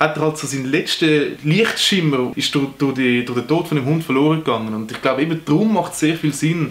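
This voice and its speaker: Speaking with a Swiss accent, a man talks at a fairly quick pace with hardly any pauses, his fairly high voice showing ordinary pitch variation. Background noise is noticeable. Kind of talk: casual film review talk.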